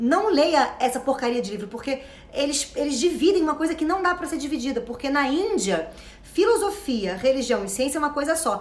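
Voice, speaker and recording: A woman with a high pitch speaks in an animated tone and lively intonation, with noticeable background noise and audible room echo. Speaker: self-knowledge coach. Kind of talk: motivational talk. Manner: fast.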